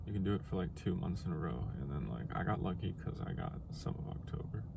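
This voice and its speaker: Amid audible room echo, a man with a very deep, low pitch talks very fast, his pitch swinging very widely. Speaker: vlogger. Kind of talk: video diary. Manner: casual, halting.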